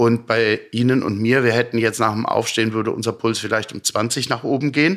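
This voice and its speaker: An ordinary speaking voice from a man at medium pitch and a fairly quick pace. The recording is very clean, with a silent background. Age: 50s. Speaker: sleep medicine physician. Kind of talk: interview. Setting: his practice.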